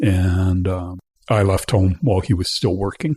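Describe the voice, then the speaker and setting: With a western Canadian accent, a somewhat breathy man speaks at a fairly low pitch in a dark, mellow tone, the sound dry and close with no echo over a quiet background. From western Canada (British Columbia, Alberta). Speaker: interview guest, community theatre member. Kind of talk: casual interview.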